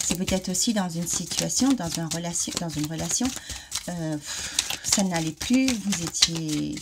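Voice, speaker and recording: A woman with a fairly low voice and lively intonation speaks over noticeable background noise. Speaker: card reader. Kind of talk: oracle card reading. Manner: hesitant, many fillers.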